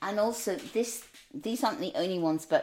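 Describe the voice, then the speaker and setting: On a very clean recording with a silent background, a woman with a Northern Irish accent speaks at a medium pitch with lively intonation. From Northern Ireland, small town. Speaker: food writer. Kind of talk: casual chat.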